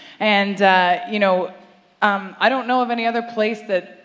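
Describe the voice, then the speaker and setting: A woman talks at a moderate speed, her pitch varying in an ordinary way, while noticeable noise sits in the background. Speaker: TV show producer promoting the show. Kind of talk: welcome speech at live event. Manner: loud.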